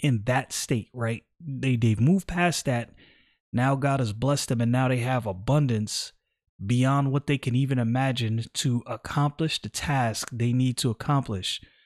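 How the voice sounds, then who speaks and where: A man with an American accent speaks in a normal speaking voice at medium pitch and a moderate pace, in a very clean recording with a silent background and a dry, close sound with no echo. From New York City (Brooklyn). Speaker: Bible teacher podcaster. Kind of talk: casual Bible study talk. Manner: conversational with slang.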